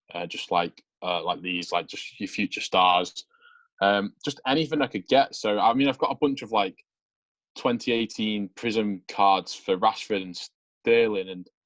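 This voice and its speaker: Big swings in loudness mark a man's speech, delivered at a fairly slow pace in a fairly low pitch with ordinary pitch variation. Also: dry, close sound with no echo. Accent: English. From Manchester, England. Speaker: sports card collector. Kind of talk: casual interview chat.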